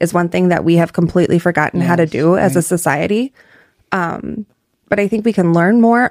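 A woman with a Midwestern American accent, fairly low in pitch, with ordinary pitch variation and a fairly quick pace. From North Iowa (Clear Lake). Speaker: political candidate. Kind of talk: casual interview.

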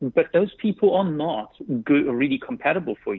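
A man with a South African accent, at a moderate pace. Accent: South African English, often heard as British. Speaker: dating app co-founder. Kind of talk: radio interview. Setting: phone call.

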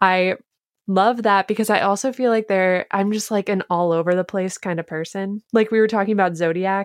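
In an ordinary speaking voice, a woman talks at a moderate pace and medium pitch with fairly even intonation, the sound dry and close with no echo against a quiet background. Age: 20s. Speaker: TikToker and recipe developer. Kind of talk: casual chat.

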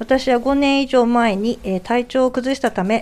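Noticeable background noise is heard. Over it, a woman talks with a fairly high pitch. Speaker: radio panelist. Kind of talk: radio talk show, reading listener mail aloud. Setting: radio studio, late-night live broadcast.

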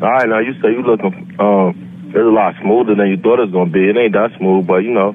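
Man's voice of very even loudness with hardly any pauses, amid noticeable background noise. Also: fairly low pitch for a man, ordinary pitch variation, fairly quick pace. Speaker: prank call target. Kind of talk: phone call. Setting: phone call. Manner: calm, unflinching.

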